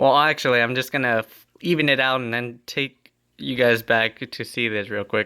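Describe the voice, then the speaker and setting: Speaking at a moderate pace, a man uses a bright, sharp tone at medium pitch with fairly even intonation. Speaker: aquarium hobbyist YouTuber. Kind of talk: tutorial. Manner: casual, filler-heavy.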